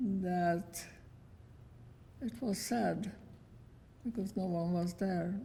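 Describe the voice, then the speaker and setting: Somewhat breathy and dark, mellow in tone, a woman at a medium pitch speaks at a very slow pace with long, frequent pauses and ordinary pitch variation. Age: 90s. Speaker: Holocaust survivor. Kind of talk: testimony. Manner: terse.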